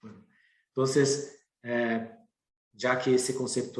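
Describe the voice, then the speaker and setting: Somewhat breathy and at a medium pitch, a man speaks with a Brazilian accent and fairly even intonation amid audible room echo. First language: Portuguese (speaking Spanish). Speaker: professor and researcher. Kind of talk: lecture. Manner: hesitant, with fillers and repetitions.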